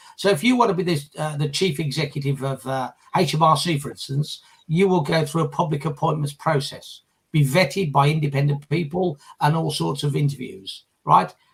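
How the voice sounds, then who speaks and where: A man's fairly high-pitched, somewhat breathy voice with a British accent, a fairly quick pace, and ordinary pitch variation. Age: 60s. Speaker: former political candidate and leadership campaigner. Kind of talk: casual discussion on a live group video chat. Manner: hesitant, with frequent fillers and repetitions.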